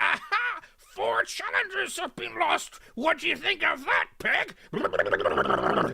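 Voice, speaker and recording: Putting on a character voice, a man speaks extremely high and very slowly. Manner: mocking, taunting.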